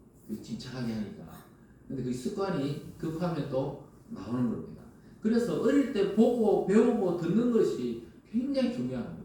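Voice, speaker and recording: The voice is animated, with very wide pitch swings and a moderate pace. Audible room echo and noticeable background noise fill the recording. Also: man, high pitch for a man. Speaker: pastor. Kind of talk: sermon. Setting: church. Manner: animated, conversational.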